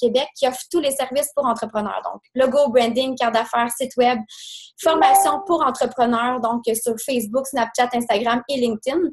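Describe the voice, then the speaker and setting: A woman speaks in a Quebec accent. Her voice sits high in pitch. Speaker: business owner. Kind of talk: presentation. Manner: fast.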